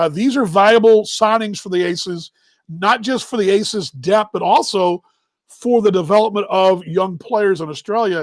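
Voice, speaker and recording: A high-pitched man with a Texas accent talks at a moderate pace with ordinary pitch variation. The recording is very clean, with a silent background. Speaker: baseball show host. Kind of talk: casual live-stream chat. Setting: live stream.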